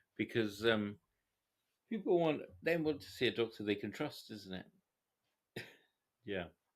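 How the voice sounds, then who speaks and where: In a very clean recording with a silent background, a man of medium pitch speaks fairly slowly, with long, frequent pauses and big swings in loudness. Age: 40s. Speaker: psychiatrist. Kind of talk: casual chat. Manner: halting.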